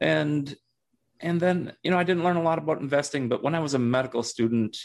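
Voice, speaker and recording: A man with an American accent is heard in a very clean recording with a silent background. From Minnesota, US Midwest. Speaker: retired physician, finance blogger. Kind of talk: interview, casual chat.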